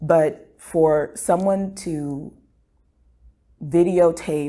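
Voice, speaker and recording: A woman's very deep, low voice with an American accent, dark, mellow tone and fairly even intonation. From United States. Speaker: medical student. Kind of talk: interview answer. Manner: reflective, casual. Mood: somber, emotionally shaken. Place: studio.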